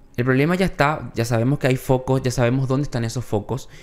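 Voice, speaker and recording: Someone male talks at a fairly quick pace. His pitch variation is ordinary. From Paraguay. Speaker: news show co-host; news podcast co-host. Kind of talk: casual news chat. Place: studio. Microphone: studio mic.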